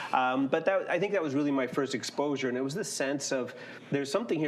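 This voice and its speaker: A man's fairly high voice with lively intonation, over noticeable background noise. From Canada, Mennonite community. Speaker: learning technology researcher. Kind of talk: panel discussion.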